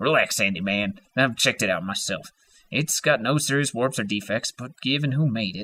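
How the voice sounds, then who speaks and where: Doing a put-on character voice, a man speaks in a gravelly, medium-pitched tone with ordinary pitch variation at a moderate pace. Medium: read story. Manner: terse.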